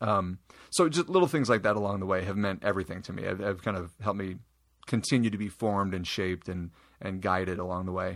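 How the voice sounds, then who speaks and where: On a very clean recording with a silent background, a man with a Midwestern American accent talks very fast in a fairly low voice, his intonation fairly even. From Iowa. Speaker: youth minister. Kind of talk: interview.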